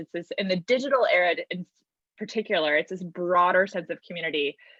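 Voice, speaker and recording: The woman talks at a very fast pace. Her pitch varies in an ordinary way. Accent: American. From Cleveland Heights area, Ohio. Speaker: church member presenting working group report. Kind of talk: presentation. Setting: virtual summit. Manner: frequent filler ums.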